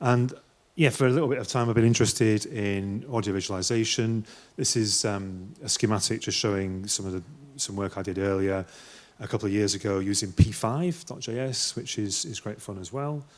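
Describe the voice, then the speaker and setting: Here a man talks with a northwest English accent at a fairly quick pace. His pitch is fairly low, with ordinary variation. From northwest England. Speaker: artist, musician and lecturer. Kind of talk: conference talk. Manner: hesitant, many fillers.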